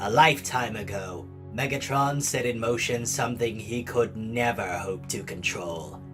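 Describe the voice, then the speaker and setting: Someone performs a put-on character voice at a moderate pace, with hardly any pauses. Loud music plays in the background. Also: man, medium pitch for a man. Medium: dub. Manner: theatrical, scornful speech.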